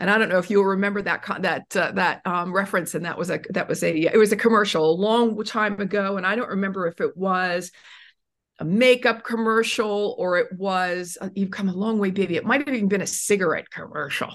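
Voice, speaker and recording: A woman with an ordinary speaking voice at medium pitch, a fairly quick pace and fairly even intonation over a quiet background. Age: 60s. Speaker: author and self-esteem speaker. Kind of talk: interview.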